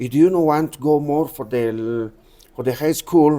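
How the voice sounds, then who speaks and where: Using an Andean accent, a man speaks at a moderate pace with a medium pitch, ordinary pitch variation and a dark, mellow tone. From Bolivia, Cochabamba and Potosí. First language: Quechua. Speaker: tour guide and former miner. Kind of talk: interview. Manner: halting, non-fluent English.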